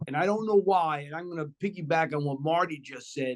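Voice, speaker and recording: A man with a New York accent speaks with ordinary pitch variation. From New York City, Washington Heights. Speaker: former college basketball coach, TV basketball analyst. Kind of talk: casual chat.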